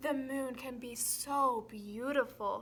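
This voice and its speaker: Putting on a character voice, a woman speaks high and fairly slowly with fairly even intonation. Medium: read story.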